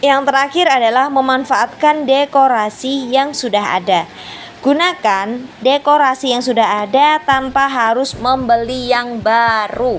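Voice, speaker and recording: A woman shouts at a fairly slow pace with a high pitch, ordinary pitch variation and very even loudness, over noticeable background noise. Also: hardly any pauses. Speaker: housewife vlogger. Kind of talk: voice-over tutorial. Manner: loud, somewhat shouting; casual, chatty.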